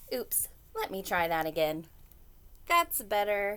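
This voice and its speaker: Using a put-on character voice at medium pitch, a woman speaks in a cheerful tone at a fairly slow pace. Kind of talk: children's story reading. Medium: read story. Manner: eager, cheerful.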